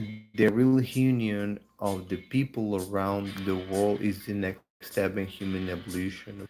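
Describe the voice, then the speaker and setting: A man with a Spanish accent, fairly low in pitch, at a fairly slow pace with fairly even intonation and hardly any pauses, music in the background. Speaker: livestream host sharing spiritual ideas. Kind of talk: casual live stream monologue. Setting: live video stream. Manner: halting, with filler words; slower than in native language.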